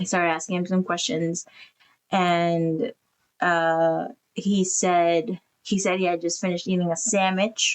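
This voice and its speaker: Using a normal speaking voice, a woman talks at a fairly slow pace with fairly even intonation and very even loudness. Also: fairly low pitch for a woman. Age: 30s. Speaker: podcast co-host, widow. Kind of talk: casual chat. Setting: live stream.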